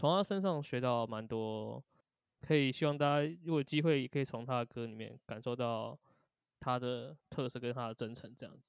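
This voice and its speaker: An unremarkable speaking voice from a man at medium pitch, with ordinary pitch variation, big swings in loudness and a moderate pace, in a dry, close sound with no echo. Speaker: band drummer. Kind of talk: casual interview chat.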